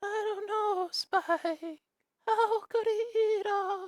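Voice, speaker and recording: A put-on character voice of extremely high pitch at a very slow pace. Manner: weird, exaggerated.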